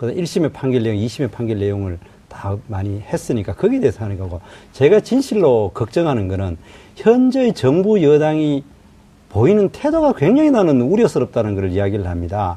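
With a dark, mellow tone and a somewhat breathy quality, a man talks at a fairly quick pace using very wide pitch swings. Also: medium pitch for a man. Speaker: opposition party spokesperson and lawmaker. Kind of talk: political debate. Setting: studio. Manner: interrupts, combative.

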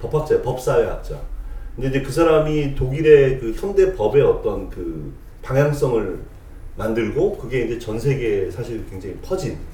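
The speech moves at a moderate pace. Its loudness swings widely. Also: man. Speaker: podcast co-host. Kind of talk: casual chat.

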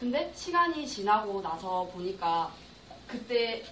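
With lively intonation and an energetic tone, a woman with a fairly high pitch speaks amid noticeable background noise and audible room echo. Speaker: university student. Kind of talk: class presentation.

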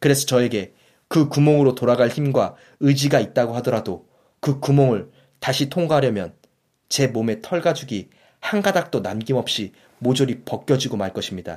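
A man has an unremarkable speaking voice at medium pitch. He talks at a moderate pace with lively intonation. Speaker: audiobook podcast host. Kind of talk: reading aloud. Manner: formal.

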